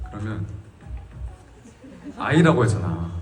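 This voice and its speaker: A man is heard speaking. Noticeable background noise and audible room echo fill the recording. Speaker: singer. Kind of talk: casual chat with fans. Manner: animated.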